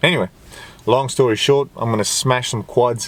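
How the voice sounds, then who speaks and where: Delivered at a moderate pace, the speech has a non-native accent and ordinary pitch variation. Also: man. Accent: non-native English accent, he calls it fine. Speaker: fitness vlogger. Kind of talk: casual vlog monologue. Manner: halting, searching for words.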